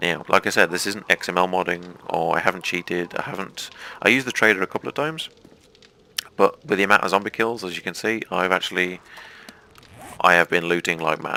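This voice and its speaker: Fairly quick speech in an English accent, with long, frequent pauses, ordinary pitch variation and a dry, close sound with no echo. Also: man, very deep, low pitch for a man. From England, mining family. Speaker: gaming YouTuber. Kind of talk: let's play commentary.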